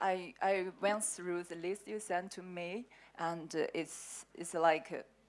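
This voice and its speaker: A woman with a Chinese accent speaks at a very slow pace. Her pitch is medium and her intonation fairly even. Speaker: sales manager at herbal medicine company. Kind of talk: panel discussion. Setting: conference panel. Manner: halting.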